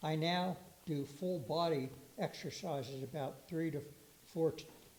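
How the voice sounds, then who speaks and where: In a room with audible echo, a man speaks at a fairly high pitch. His pace is fairly slow and his intonation fairly even. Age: 90s. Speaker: lay speaker at a church service. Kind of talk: talk to a congregation. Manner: halting.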